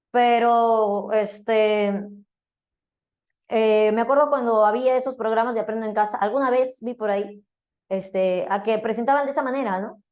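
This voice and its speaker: A woman with a fairly high pitch speaks at a moderate pace with fairly even intonation. Audible room echo surrounds her voice. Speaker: philosophy teacher. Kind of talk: lecture.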